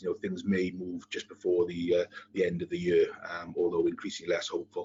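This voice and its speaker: A man with a strong Welsh accent, at a fairly quick pace. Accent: thick Welsh. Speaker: compliance consultant, webinar panelist. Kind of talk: webinar presentation. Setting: online webinar. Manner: fast.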